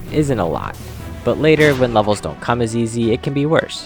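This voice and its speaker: Music plays in the background. A man speaks at a medium pitch with lively intonation. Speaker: video game content creator. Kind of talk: gameplay commentary narration. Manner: casual, playful.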